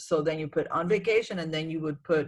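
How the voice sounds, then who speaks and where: A woman speaks in a very deep, low voice. The recording is very clean, with a silent background. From Cuba. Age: 60s. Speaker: real estate agent. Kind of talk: tutorial. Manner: repetitive, emphatic.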